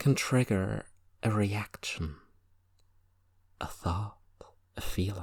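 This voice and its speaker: A man with a fairly low pitch and a somewhat breathy voice talks at a very slow pace with long, frequent pauses and ordinary pitch variation, in a very clean recording with a silent background. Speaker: hypnotist. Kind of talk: recreational hypnosis session. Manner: conversational, rambling.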